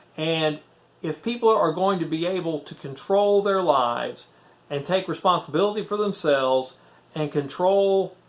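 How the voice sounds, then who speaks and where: A man with a Southern US accent speaks at a fairly slow pace, his pitch varying in an ordinary way. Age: 60s. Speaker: former preacher, YouTuber. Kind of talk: casual talk to camera.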